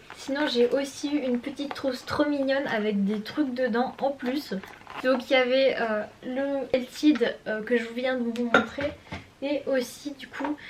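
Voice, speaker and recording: Over noticeable background noise, a woman speaks at a fairly slow pace with a high pitch and fairly even intonation. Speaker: beauty and lifestyle vlogger. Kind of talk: casual vlog, showing birthday gifts. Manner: hesitant, many fillers.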